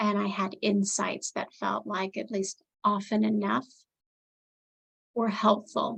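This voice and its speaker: This woman speaks very slowly, leaving long, frequent pauses. Her medium-pitched voice has vocal fry and fairly even intonation. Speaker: life coach. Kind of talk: interview.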